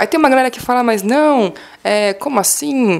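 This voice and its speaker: A woman's lively intonation at a moderate pace comes through noticeable background noise. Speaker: history teacher. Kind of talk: classroom lesson explanation. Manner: casual, conversational.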